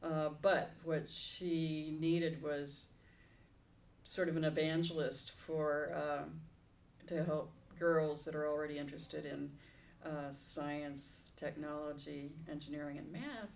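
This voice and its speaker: In a room with audible echo, a woman speaks very slowly in a very deep, low pitch with monotone, flat intonation. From Southern California. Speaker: retired minister. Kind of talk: interview.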